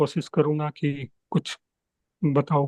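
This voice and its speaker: With a Gujarati accent, a man speaks in a fairly high pitch and a dark, mellow tone. The sound is dry and close, with no echo. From Gujarat, India. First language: Gujarati (speaking Hindi). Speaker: devotee sharing a talk. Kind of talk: spiritual talk.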